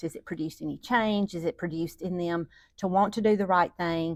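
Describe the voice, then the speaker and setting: In a Southern US accent, a woman speaks in a dry, close sound with no echo, captured in a very clean recording with a silent background. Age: 60s. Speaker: parenting teacher. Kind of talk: lecture.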